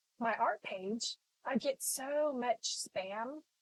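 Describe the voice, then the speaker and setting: A woman speaks high-pitched with a slight Texas accent and lively intonation. The sound is dry and close, with no echo. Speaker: artist teaching painting. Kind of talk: live painting tutorial. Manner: casual, many fillers and repetitions.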